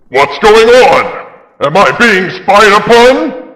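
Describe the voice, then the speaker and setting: In a put-on character voice, the speaker goes along at a very slow pace. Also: man, high pitch for a man. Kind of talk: classic radio drama acting. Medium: audio drama. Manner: commanding, roaring threats.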